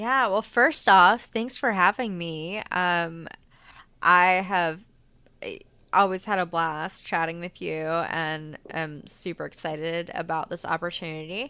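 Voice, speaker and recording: In a very clean recording with a silent background, a woman with a fairly low pitch and a bright, sharp tone speaks at a fairly slow pace, her loudness swinging widely. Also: ordinary pitch variation. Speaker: podcaster guest. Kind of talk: casual chat.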